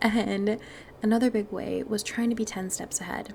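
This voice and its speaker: Noticeable background noise runs beneath a woman's American accent as she talks at a moderate pace. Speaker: mindset and manifestation podcast host. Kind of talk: podcast monologue. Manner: casual, chatty.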